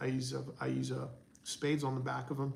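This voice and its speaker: This man has a fairly high pitch and a somewhat breathy sound. He speaks at a fairly quick pace. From raised in the US by a Persian immigrant family, born in England. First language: Farsi. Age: 40s. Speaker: audio reviewer and YouTuber. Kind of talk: live stream Q&A reading chat. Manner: casual, conversational.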